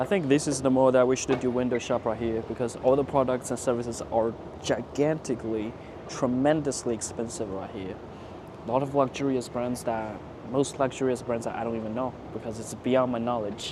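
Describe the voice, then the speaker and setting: Over noticeable background noise, the speech moves at a fairly quick pace with fairly even intonation. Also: man, medium pitch for a man. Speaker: travel vlogger. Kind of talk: travel vlog narration.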